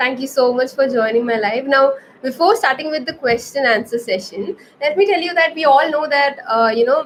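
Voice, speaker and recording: With an Indian accent, a woman speaks in a high voice with lively intonation. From India, Kerala-born, raised in Navi Mumbai. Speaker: anatomy educator, health science student. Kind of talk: livestream Q&A tutorial. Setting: live stream. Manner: hesitant, many fillers.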